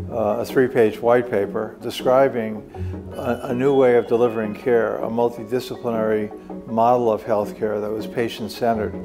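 With clear music playing behind him, a man speaks at a moderate pace with fairly even intonation. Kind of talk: interview answer. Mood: calm, reflective. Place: office.

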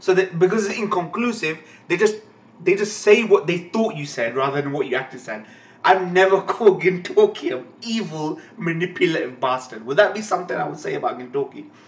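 The speech moves at a fairly quick pace with big swings in loudness. Room echo is audible. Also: man. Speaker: anime reaction channel host. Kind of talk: casual vlog chat, ranting. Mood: annoyed, ranting about a comment. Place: home room.

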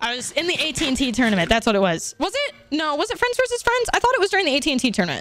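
A woman speaks in an animated tone and a raised, projected voice, her high pitch swinging very widely at a fairly quick pace over faint background music. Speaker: video game streamer. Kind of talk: live gameplay stream chat. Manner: loud. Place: home room. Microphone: studio mic.

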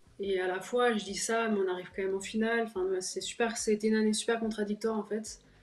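A woman is speaking. Room echo is audible. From La Rochelle, France; France. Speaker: professional basketball player; guest. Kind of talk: interview. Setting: video call. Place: home room. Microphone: video call.

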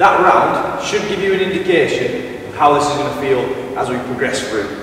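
Strong room echo and light background noise surround the recording. A man speaks at a moderate pace. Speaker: fitness trainer. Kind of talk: workout tutorial instruction. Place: gym.

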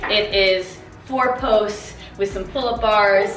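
Clear music plays behind a woman's voice. Room echo is audible. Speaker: fitness vlogger. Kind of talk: casual vlog chat. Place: garage. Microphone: phone near.

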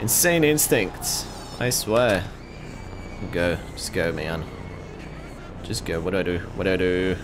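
A man talks at a fairly slow pace with long, frequent pauses and very wide pitch swings, music playing in the background. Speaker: gaming streamer. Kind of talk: excited gameplay commentary. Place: home room.

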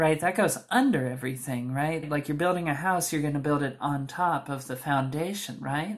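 With hardly any pauses, a woman speaks in a very deep, low voice. Her pitch variation is ordinary, against a quiet background. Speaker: beauty vlogger; makeup tutorial host. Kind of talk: tutorial. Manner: slow; soft-spoken. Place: home room. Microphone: camera far.

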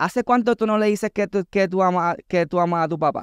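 This man talks at a fairly quick pace in a Puerto Rican accent. The sound is dry with no echo, and the background is quiet. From Puerto Rico. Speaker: content creator and entertainer; content creator. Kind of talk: casual chat. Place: studio. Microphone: studio mic.

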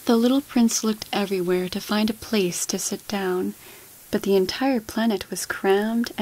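What you hear is a natural reading voice.

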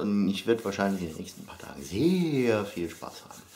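A man keeps to a moderate pace as he speaks. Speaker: vlogger. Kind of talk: casual vlog chat. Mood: playful, joking. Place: home room.

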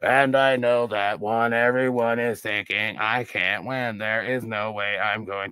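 Putting on a whiny character voice, a man speaks at a fairly slow pace and medium pitch with monotone, flat intonation and hardly any pauses. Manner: whining.

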